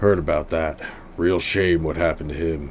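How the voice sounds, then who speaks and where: A man uses a put-on character voice with a very deep, low pitch over clear background noise. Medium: game stream. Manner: terse, dry.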